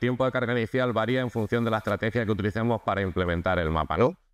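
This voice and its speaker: Here a man speaks with ordinary pitch variation. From Spain, Andalusia (Nerja, Málaga); Andalusia, Spain. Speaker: software engineer, conference speaker; conference speaker. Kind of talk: conference talk. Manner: hesitant, many repetitions and fillers. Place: hall.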